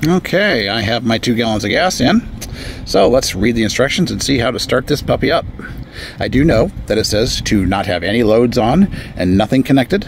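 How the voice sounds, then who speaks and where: A man talks fairly quickly with lively intonation as noticeable background noise carries on behind him. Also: medium pitch for a man. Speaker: product reviewer. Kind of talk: product demo. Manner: halting.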